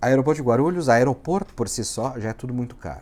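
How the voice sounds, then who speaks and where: With a southern Brazilian accent, a man talks at a moderate pace in a medium pitch, with a dark, mellow tone and lively intonation. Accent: gaúcho. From southern Brazil (Rio Grande do Sul, Uruguaiana). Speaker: immigration lawyer, vlogger. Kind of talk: casual vlog. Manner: animated.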